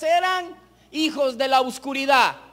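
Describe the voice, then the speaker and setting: A man at a very slow pace with ordinary pitch variation, over a quiet background. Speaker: preacher. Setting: church with congregation, broadcast on radio. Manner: earnest, exhorting, direct appeals to 'amados hermanos' with rhetorical questions; measured, pausing to repeat phrases for emphasis. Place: church. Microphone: podium.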